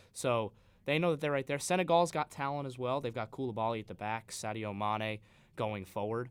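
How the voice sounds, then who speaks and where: Medium-pitched man with an American accent, an unremarkable speaking voice, fairly quick pace and ordinary pitch variation, in a very clean recording with a silent background. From Long Island, New York. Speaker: student sports broadcaster, guest pundit. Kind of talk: sports talk radio discussion. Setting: radio studio.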